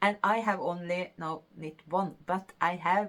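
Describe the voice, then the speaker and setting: A woman talks in a Norwegian accent at a medium pitch. Her pace is very slow. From Norway. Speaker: knitting podcaster. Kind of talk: casual talk to camera.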